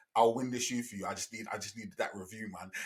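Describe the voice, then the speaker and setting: This man talks at a very fast pace. He has a London accent. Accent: London, multicultural London English. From South East London. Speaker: podcast host. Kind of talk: casual podcast chat.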